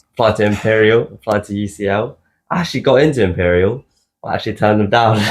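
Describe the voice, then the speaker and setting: With a South London accent, a man speaks at a very fast pace in a fairly low pitch with ordinary pitch variation. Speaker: podcast co-host. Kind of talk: casual chat.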